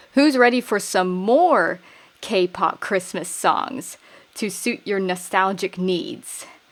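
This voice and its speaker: With lively intonation, a woman at a medium pitch speaks at a very slow pace. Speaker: K-pop music reviewer. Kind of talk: casual commentary to camera.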